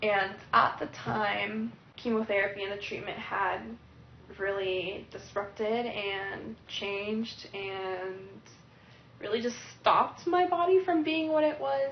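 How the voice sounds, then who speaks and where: Pitch swings very widely as a woman speaks at a very slow pace. Audible room echo and noticeable background noise surround her voice. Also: medium pitch for a woman. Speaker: cancer survivor. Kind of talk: testimony.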